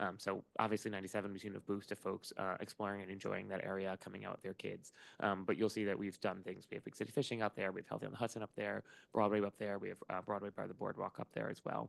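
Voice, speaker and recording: A man speaks very fast at a fairly low pitch with vocal fry and monotone, flat intonation. The sound is dry and close, with no echo. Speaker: park staff presenter. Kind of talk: meeting presentation. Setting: meeting room with hybrid video call. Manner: loud.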